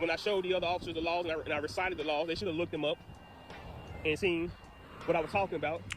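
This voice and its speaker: A man speaks very fast. Background music accompanies him. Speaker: auditor reacting to own video. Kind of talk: reaction commentary.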